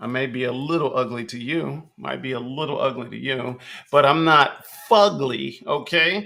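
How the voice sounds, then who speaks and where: Against noticeable background noise, a man with an American accent speaks at a moderate pace and medium pitch. His loudness swings widely while his pitch varies in an ordinary way. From New York City (Bronx, Manhattan, Queens). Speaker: podcast host, rapper and spoken word artist. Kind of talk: casual monologue. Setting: livestream.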